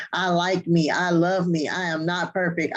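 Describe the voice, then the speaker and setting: A woman speaks in a fairly low pitch with fairly even intonation. The background is quiet. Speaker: parenting show co-host. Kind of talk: casual chat. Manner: subdued.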